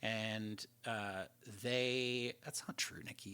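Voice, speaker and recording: Speaking with a Canadian accent, a man uses a medium-pitched, bright, sharp voice with ordinary pitch variation. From Canada. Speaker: lead world builder of a roleplay game server. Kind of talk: livestream Q&A. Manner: casual, many fillers and restarts.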